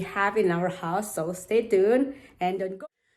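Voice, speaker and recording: A woman talks at a fairly slow pace, her pitch rising and falling in an ordinary way. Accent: Indonesian. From Indonesia. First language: Indonesian. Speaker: home renovation vlogger. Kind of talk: casual vlog narration.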